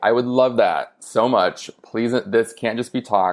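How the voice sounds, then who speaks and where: At a fairly slow pace, a man talks in a normal speaking voice. His pitch is medium, with ordinary pitch variation. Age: 30s. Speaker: author. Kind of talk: casual chat.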